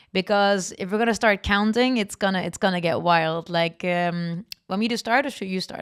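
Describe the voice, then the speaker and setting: In a very clean recording with a silent background, a speaker with a non-native accent talks at a fairly quick pace with ordinary pitch variation. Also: woman. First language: not English. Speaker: metal band member and podcast co-host. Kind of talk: casual chat. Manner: halting, with fillers and repeats.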